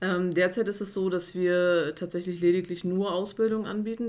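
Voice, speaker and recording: This woman's voice holds a medium pitch, with ordinary pitch variation. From Mecklenburg-Vorpommern, Güstrow. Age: 30s. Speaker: HR officer and apprenticeship trainer. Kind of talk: interview.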